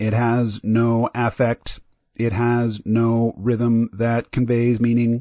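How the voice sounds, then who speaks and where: A man talks in a put-on character voice at a medium pitch, with monotone, flat intonation and a very slow pace. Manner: emotionless, without rhythm.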